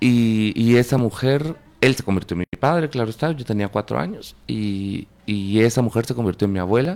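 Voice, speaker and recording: Using an ordinary speaking voice, this man keeps a moderate pace and a medium pitch, with ordinary pitch variation. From Guatemala, Panajachel. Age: 40s. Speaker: filmmaker. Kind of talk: interview.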